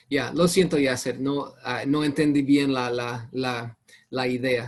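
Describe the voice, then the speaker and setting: A man with a non-native accent speaks at a very slow pace. He leaves long, frequent pauses. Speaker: Bible teacher. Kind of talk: online Bible study class. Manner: halting.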